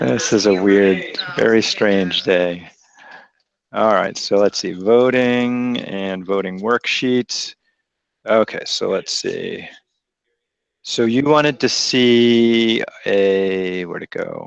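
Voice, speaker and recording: In a quiet background, a man with an American accent talks. His pace is very slow, broken by long, frequent pauses. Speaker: math teacher. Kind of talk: classroom lecture. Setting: classroom with students.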